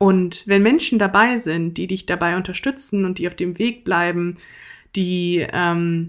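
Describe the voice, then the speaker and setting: In a very clean recording with a silent background, a woman speaks at medium pitch and a fairly slow pace. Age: 20s. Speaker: podcaster and student. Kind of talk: casual personal monologue.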